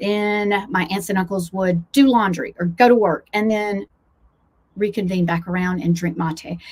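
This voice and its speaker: With an American accent, a woman speaks at a moderate pace and medium pitch, somewhat breathy, with ordinary pitch variation. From US South, Blue Ridge foothills. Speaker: travel vlogger and coach. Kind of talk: casual vlog monologue. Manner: animated.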